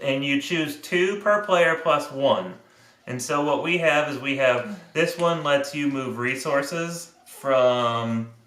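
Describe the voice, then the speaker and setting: Audible room echo and noticeable background noise surround a man speaking at a fairly high pitch with lively intonation. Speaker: board game reviewer. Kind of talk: game rules explanation.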